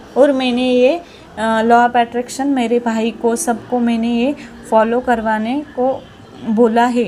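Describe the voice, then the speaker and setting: Over noticeable background noise, a woman speaks at a high pitch with a monotone, flat intonation. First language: Marathi (speaking Hindi). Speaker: viewer sharing a success story. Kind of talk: testimony. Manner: halting, repetitive.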